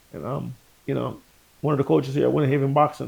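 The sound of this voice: A man's medium-pitched voice with vocal fry and a slightly mellow tone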